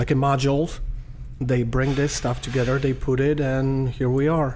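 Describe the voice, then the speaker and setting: In a Polish accent, a man talks at a moderate pace and medium pitch. Audible room echo and noticeable background noise surround him. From Poland. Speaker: diner general manager. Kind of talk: interview. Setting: diner. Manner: halting.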